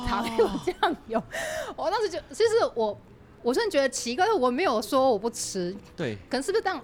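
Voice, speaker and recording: Very fast and high-pitched, a woman speaks with very wide pitch swings over noticeable background noise. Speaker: podcast host, guest on another show. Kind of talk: casual chat. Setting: cafe.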